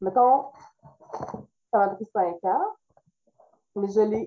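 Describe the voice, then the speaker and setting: The speaker is a woman. She talks in a medium pitch. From Quebec, Trois-Rivières area. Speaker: illustrator and author. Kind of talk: interview.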